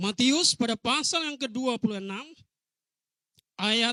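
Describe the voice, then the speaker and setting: A raised, projected voice with a bright, sharp tone in an East Nusa Tenggara accent, at a very slow pace, in a dry, close sound with no echo. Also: man. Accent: eastern Indonesian (Rote). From Rote Island, East Nusa Tenggara, Indonesia. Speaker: pastor. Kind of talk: sermon. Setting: church.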